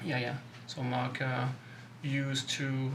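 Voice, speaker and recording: In a French accent, a man speaks slowly in a flat monotone at medium pitch, with noticeable background noise and audible room echo. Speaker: BMX company co-owner. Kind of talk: interview. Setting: studio. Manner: halting.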